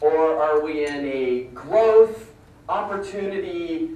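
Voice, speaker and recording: A very slow pace amid noticeable background noise and audible room echo. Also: man. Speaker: conference presenter. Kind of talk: conference presentation. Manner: animated.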